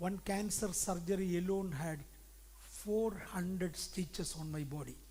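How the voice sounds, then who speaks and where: With audible room echo, a man speaks at a fairly slow pace in an Indian accent. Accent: Indian accent, noticeable. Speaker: pastor. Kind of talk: sermon. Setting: church conference.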